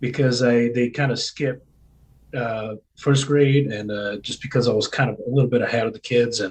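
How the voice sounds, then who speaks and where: A somewhat breathy man's voice at medium pitch, moderate pace and fairly even intonation. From Brazil. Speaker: homeschooling parent. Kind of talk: podcast interview.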